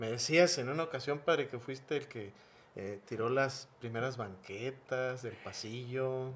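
This is a man with an ordinary speaking voice. His pitch is medium, with ordinary pitch variation. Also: fairly slow pace. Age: 40s. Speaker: priest and podcast host. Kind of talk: interview.

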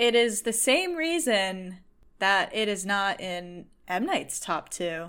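A woman with an American accent at a medium pitch and very slow pace, on a very clean recording with a silent background. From Massachusetts, US. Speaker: film content creator. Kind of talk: casual chat.

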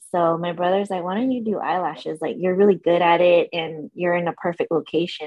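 A woman talks at a very fast pace in a Californian accent, her intonation fairly even. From San Diego, California. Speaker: eyelash extension artist. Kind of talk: casual interview chat.

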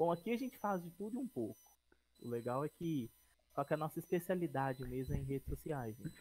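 Over music in the background, a man with a fairly high pitch speaks at a moderate pace with lively intonation, the sound dry and close with no echo. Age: 30s. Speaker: podcast co-host, production company partner. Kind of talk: casual chat. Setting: live stream, improvised outside studio.

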